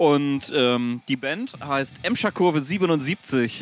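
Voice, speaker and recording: Lively intonation marks this man's speech, heard in a dry, close sound with no echo. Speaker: podcast co-host. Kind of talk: casual chat. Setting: back room of a rock club before a concert.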